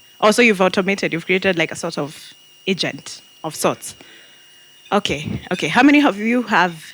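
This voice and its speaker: Over noticeable background noise, a woman speaks in an animated tone at a moderate pace with lively intonation. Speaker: marketing and AI strategist, speaker. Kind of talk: interactive talk to audience. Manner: loud.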